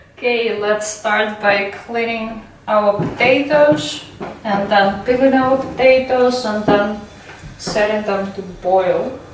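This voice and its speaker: A woman with a Russian accent speaks very slowly in a fairly high pitch with ordinary pitch variation. Noticeable background noise and audible room echo fill the recording. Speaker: student society member. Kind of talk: casual cooking video.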